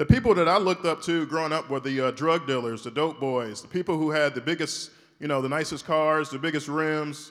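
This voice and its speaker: Speaking at a fairly quick pace with hardly any pauses, a man with an American accent has an unremarkable speaking voice, a fairly high pitch and ordinary pitch variation. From US South, Shreveport, Louisiana. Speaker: orthopedic spine surgeon. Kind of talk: keynote speech. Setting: stage with audience.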